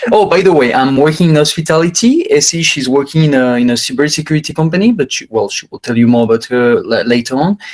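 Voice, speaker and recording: A man with a French accent talks at a very fast pace, with hardly any pauses. His pitch is fairly high and his intonation lively. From France. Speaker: hospitality worker, husband. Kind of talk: casual chat. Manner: halting.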